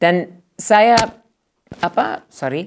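Here a woman speaks with an English accent at a fairly low pitch. The background is quiet. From United States. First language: English (speaking Indonesian). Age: 60s. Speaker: professor, ethnomusicologist; professor. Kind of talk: interview. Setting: studio. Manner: halting. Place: studio. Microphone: lapel.

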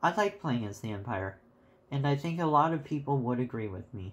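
On a very clean recording with a silent background, a man with a fairly high pitch speaks at a moderate pace, his somewhat breathy voice showing ordinary pitch variation. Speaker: game reviewer. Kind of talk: casual game review narration. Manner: pitch rises at times.

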